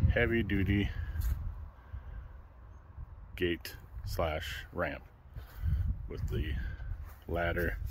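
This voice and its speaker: A man's very slow speech with vocal fry, dry and without echo, over noticeable background noise. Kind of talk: casual product walkthrough. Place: garden.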